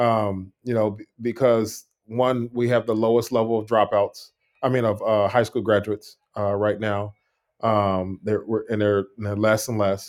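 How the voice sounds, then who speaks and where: A man speaks at a fairly slow pace in a fairly low, monotone voice with flat intonation. The recording is very clean, with a silent background. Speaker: educator and entrepreneur. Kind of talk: casual interview chat.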